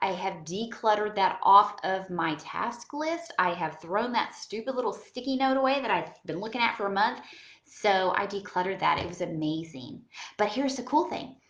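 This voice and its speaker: Lively intonation marks this woman's speech, heard with audible room echo. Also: medium pitch for a woman, moderate pace. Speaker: home organizing vlogger. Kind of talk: casual vlog talk to camera.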